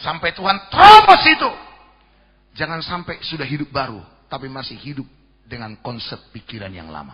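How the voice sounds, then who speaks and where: Using very wide pitch swings and big swings in loudness, a man with a fairly high pitch speaks at a moderate pace. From Jakarta, Indonesia (Batak ethnicity). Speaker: pastor. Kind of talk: sermon.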